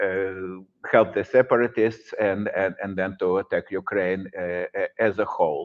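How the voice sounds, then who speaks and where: A man with a Russian accent at a fairly slow pace. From Russia, Saint Petersburg. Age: 60s. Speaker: professor. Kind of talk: lecture. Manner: halting.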